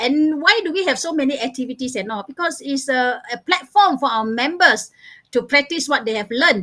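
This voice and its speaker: A woman's bright, sharp voice at a moderate pace, with very wide pitch swings. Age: 60s. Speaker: laughter yoga trainer and club founder. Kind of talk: interview. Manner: enthusiastic.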